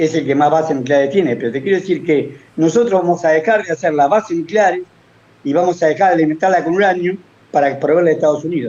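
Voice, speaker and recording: Pitch varying in an ordinary way, a man talks very fast. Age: 70s. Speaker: economic analyst, former finance worker. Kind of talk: political-economic commentary on talk show. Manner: animated.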